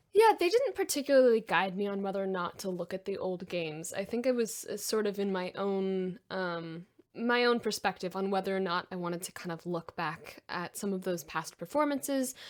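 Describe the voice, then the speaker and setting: With a normal speaking voice, a woman talks fairly quickly at medium pitch with ordinary pitch variation and hardly any pauses. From Texas. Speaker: voice actor. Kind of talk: podcast interview.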